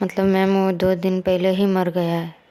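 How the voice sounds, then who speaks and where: Noticeable background noise runs under this clip. A woman speaks at a medium pitch and a fairly slow pace. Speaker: storyteller. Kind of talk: reading a story aloud.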